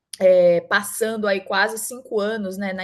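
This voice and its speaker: Heard over a quiet background, a woman speaks with a northeastern Brazilian accent. Her pace is moderate. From Northeast Brazil, Mossoró, Rio Grande do Norte. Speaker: startup founder, HR professional. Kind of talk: event talk, personal career story. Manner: conversational, frequent fillers.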